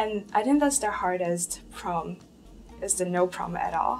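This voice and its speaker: Music plays in the background as a woman speaks with a Cantonese accent. Her pace is moderate. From China, Guangzhou. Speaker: international university student. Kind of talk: interview.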